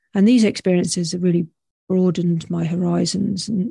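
In a British accent, a woman speaks at a medium pitch and moderate pace with ordinary pitch variation. Her tone is dark, mellow and somewhat breathy, recorded dry and close with no echo. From UK. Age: 50s. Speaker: podcast host. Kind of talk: solo reflective monologue. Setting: home recording with headphones and microphone.

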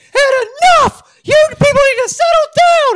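The speaker puts on a character voice pitched extremely high and keeps to a moderate pace. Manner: angry, scolding.

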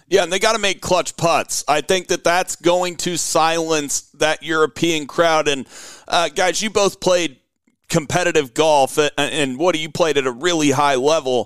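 Recorded dry and close with no echo, a man with an American accent has a plain, everyday voice, fairly high in pitch, with ordinary pitch variation and a moderate pace. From Oklahoma. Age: 20s. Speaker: golf podcast host. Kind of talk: casual chat.

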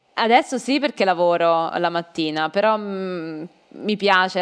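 In a quiet background, a woman with a slight southern Italian accent speaks at a fairly slow pace in a fairly low pitch with ordinary pitch variation. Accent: weak southern Italian. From southern Italy (Campania/Molise). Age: young. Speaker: Italian language teacher. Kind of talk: casual chat.

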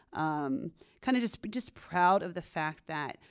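Over a silent background in a very clean recording, a woman with a plain, everyday voice, an American accent and a fairly low pitch speaks at a fairly slow pace in a dry, close sound with no echo. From US West Coast, San Francisco Bay Area. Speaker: realtor. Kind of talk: casual interview.

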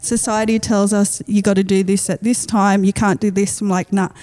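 A woman with an Australian accent talks at a moderate pace and medium pitch. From Western Sydney, Australia. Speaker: rapper. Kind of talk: casual chat.

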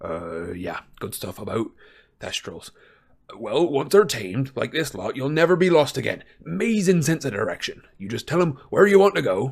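A man uses a put-on character voice at a fairly high pitch, with very wide pitch swings. His tone is cheerful and warm, and his pace is moderate. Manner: cheerful, warm, rough-spoken.

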